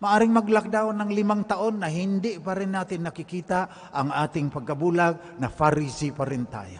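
This man's voice sits high in pitch, with ordinary pitch variation. He keeps a moderate pace and hardly pauses at all. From Mindanao, Philippines. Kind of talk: sermon, homily at live Mass, mixing Tagalog and English, personal testimony. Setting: church, live Mass. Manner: earnest, conversational, reflective, storytelling. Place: church. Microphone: podium.

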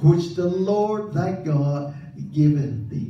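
Very slow speech with audible room echo. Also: man. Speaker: preacher. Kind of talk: sermon. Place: church.

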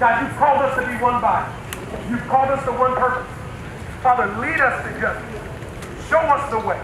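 An extremely high-pitched man speaks at a moderate pace with fairly even intonation, amid audible room echo and noticeable background noise. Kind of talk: public prayer. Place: street.

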